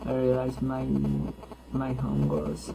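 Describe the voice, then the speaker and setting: The recording carries audible room echo. Music plays in the background. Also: man. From Colombia, Huila. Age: 20s. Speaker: university student. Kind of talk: class self-introduction. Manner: halting, many hesitations.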